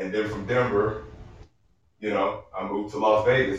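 A man speaks at a moderate pace, fairly low and somewhat breathy. Room echo is audible. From Arkansas. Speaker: comedian and military veteran. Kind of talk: casual chat. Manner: animated.

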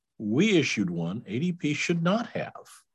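A man with an American accent at a fairly slow pace, vocal fry and very wide pitch swings. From US Midwest, Iowa. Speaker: payroll company CEO and CPA. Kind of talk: interview.

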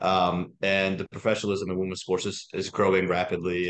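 The man's fairly low voice moves at a very fast pace. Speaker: podcast co-host. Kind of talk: casual chat.

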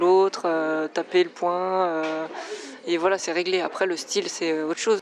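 Noticeable background noise surrounds a woman at medium pitch. She speaks at a fairly slow pace with monotone, flat intonation. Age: 30s. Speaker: kung fu athlete and osteopath. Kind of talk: interview.

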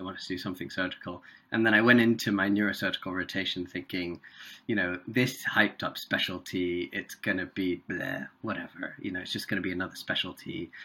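With a British accent, a man speaks at a fairly quick pace in a low voice, his bright, sharp tone carrying a slightly husky edge and fairly even intonation.

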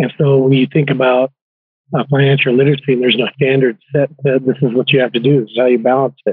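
A man talks at a very fast pace at a medium pitch, his intonation monotone and flat. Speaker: podcast host. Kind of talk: interview.

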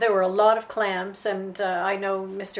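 Noticeable background noise behind a woman speaking at medium pitch. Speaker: former resort guest. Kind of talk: reminiscence. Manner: enthusiastic.

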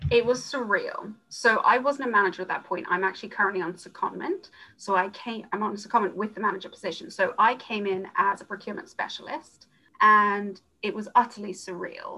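With music in the background, a woman talks fairly quickly at a fairly high pitch with ordinary pitch variation. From South Africa, Johannesburg. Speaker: procurement manager. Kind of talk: interview.

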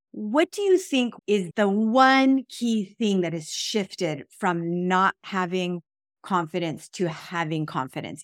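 A woman with an ordinary speaking voice talks at a fairly slow pace and medium pitch. The very clean recording has a silent background and a dry, close sound with no echo. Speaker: podcast host and human design teacher. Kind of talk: casual interview.

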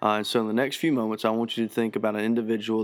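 A very clean recording, silent in the background, with ordinary pitch variation. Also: man. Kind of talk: teaching talk on prayer. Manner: hesitant, filler-heavy.

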